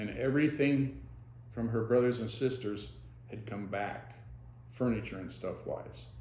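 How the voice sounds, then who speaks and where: Speaking with an American accent, a man uses a dark, mellow tone, vocal fry and ordinary pitch variation at a moderate pace. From Monroe County, Pennsylvania. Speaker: retired dentist. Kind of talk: oral history interview answer.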